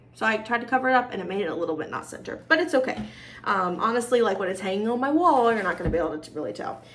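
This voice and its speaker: Amid noticeable background noise and audible room echo, a woman talks at a very fast pace and fairly high pitch with very wide pitch swings. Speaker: cross-stitch video host. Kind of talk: casual show-and-tell vlog. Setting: home video recording with ring light. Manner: animated.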